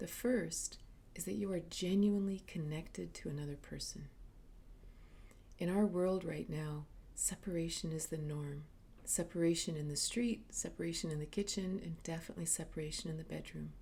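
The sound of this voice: A woman speaks at a low pitch with a dark, mellow tone and vocal fry. Her intonation is fairly even. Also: moderate pace.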